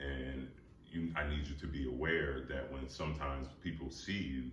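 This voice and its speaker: There is audible room echo around a man with a very deep, low pitch, vocal fry and fairly even intonation, speaking at a moderate pace. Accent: American. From US Northeast, New Jersey. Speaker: author. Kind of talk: interview.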